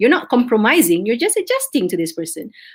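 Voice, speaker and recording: A woman speaks with a Malaysian accent. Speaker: business communication coach. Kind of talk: webinar talk to students. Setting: livestream. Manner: lively, code-switching.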